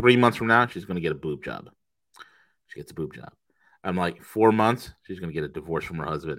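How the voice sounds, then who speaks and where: On a very clean recording with a silent background, a man with a very deep, low pitch speaks at a fairly quick pace in an animated tone, with lively intonation, big swings in loudness, and long, frequent pauses. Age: 40s. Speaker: trading podcast co-host. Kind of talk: casual chat.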